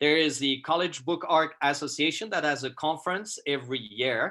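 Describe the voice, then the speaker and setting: A man with a Swiss French accent speaks in a bright, sharp tone. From Switzerland, French-speaking. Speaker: photographer. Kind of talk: presentation to a class over video call. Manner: halting, many fillers.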